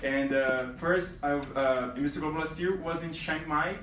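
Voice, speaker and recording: A man with a Brazilian accent talks at a moderate pace and medium pitch. Noticeable background noise and audible room echo surround him. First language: Portuguese. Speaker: reigning male pageant titleholder. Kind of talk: speech to pageant contestants. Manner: halting, many fillers.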